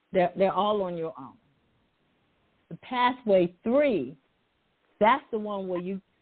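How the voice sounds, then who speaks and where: A woman at a very slow pace, with long, frequent pauses, lively intonation and big swings in loudness. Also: medium pitch for a woman. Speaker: author and ministry coach. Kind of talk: interview.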